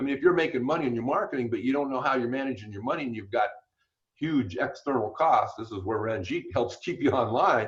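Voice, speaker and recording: Somewhat breathy and medium in pitch, a man talks at a very fast pace with lively intonation. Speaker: business coach. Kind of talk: webinar presentation.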